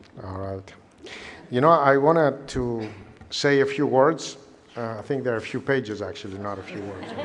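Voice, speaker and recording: Amid audible room echo, a man at a medium pitch talks at a moderate pace with ordinary pitch variation, big swings in loudness, and long, frequent pauses. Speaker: engineering college dean. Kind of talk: ceremony speech.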